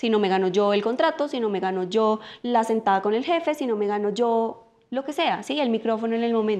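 With hardly any pauses, a woman speaks at a fairly high pitch with ordinary pitch variation. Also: fairly quick pace. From Colombia. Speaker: political scientist and life coach; podcast guest, coach. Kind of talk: casual interview conversation. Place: home room.

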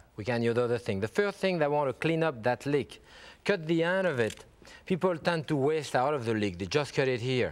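Moving at a moderate pace, a man talks with lively intonation. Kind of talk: tutorial. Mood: warm, enthusiastic. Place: studio. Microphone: lapel.

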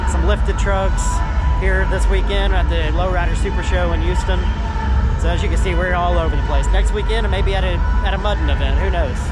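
The recording is dry with no echo, with loud music in the background. A man speaks at a fairly quick pace. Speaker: car show vlogger. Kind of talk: casual vlog chat. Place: hall. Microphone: phone near.

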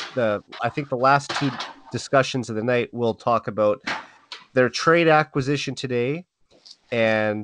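A man with a Canadian accent speaks in an unremarkable speaking voice at a medium pitch and moderate pace, with ordinary pitch variation and a dry, close sound with no echo over a quiet background. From Saskatchewan, Canada (Saskatoon). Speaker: hockey podcast host. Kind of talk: casual chat.

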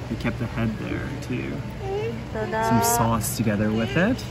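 A man's very slow speech with ordinary pitch variation against loud background noise. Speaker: vlogger. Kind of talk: casual vlog chat. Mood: pleased, relaxed. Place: bar. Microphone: phone near.

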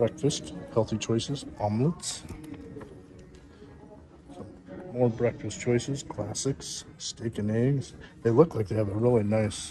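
A man speaks with ordinary pitch variation. Music plays in the background. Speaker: restaurant reviewer. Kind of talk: casual vlog commentary. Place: cafe. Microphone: phone near.

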